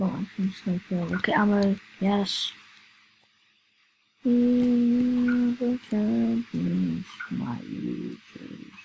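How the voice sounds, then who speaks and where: The delivery is very slow. Long pauses come often. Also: woman. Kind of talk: casual gaming commentary.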